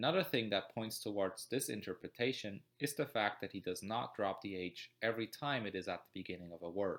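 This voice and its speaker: The man's pitch is fairly low. His pitch variation is ordinary. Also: fairly quick pace. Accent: German. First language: German. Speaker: student. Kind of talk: educational narration.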